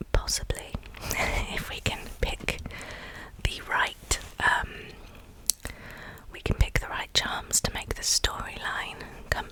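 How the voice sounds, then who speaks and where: Very slow whispering broken by long, frequent pauses, with noticeable background noise. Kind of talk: casual commentary to camera. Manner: whispered.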